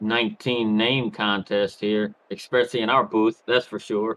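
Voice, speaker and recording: A man in a Southern accent, medium pitch, monotone, flat intonation, moderate pace. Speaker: color commentator. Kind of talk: live commentary. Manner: halting, repeats words.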